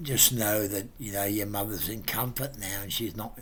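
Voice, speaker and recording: Audible room echo colors the speech of a man whose pitch is fairly low. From England. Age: 70s. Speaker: family friend, pensioner. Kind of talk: memorial tribute message. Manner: halting, many fillers.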